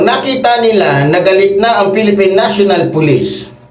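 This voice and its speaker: Amid noticeable background noise, the speaker talks at a moderate pace in an angry, animated tone with ordinary pitch variation. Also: man. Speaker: political commentator. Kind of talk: heated political rant. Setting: solo show, commenting on clips. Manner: angry, insulting, animated; emphatic, repeats for effect.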